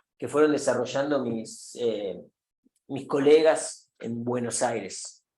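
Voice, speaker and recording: With audible room echo around him, a man talks at a fairly slow pace and fairly high pitch with ordinary pitch variation. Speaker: professor. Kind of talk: lecture. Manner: halting with fillers.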